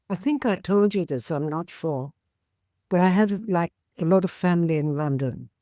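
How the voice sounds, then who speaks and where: Her voice is fairly low with a dark, mellow tone and ordinary pitch variation, a woman on a very clean recording with a silent background and a dry, close sound with no echo. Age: 80s+. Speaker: peace activist. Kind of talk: interview. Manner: animated.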